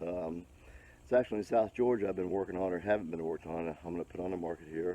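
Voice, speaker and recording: Very deep and low, a man's voice has a dark, mellow tone. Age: 60s. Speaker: YouTuber restoring an old truck. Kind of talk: casual vlog walkthrough. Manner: halting, many fillers.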